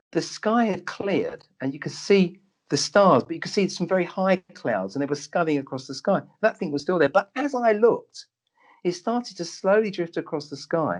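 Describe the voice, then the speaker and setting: Speaking in a London accent at a moderate pace, a man with a high pitch uses lively intonation, and the sound is dry and close with no echo. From London, Tottenham. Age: 60s. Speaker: doctor. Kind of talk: interview storytelling.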